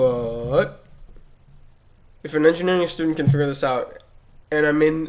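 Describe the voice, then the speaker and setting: At a moderate pace, a man talks with a fairly high pitch. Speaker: YouTuber and engineering student. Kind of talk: casual rant. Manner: animated, loud; halting, filler-heavy.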